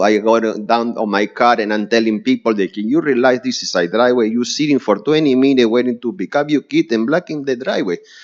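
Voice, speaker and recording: With a strong Spanish accent, a man speaks at a medium pitch with lively intonation. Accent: heavy Spanish. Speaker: neighbor testifying at zoning hearing. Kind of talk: public hearing testimony. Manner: halting.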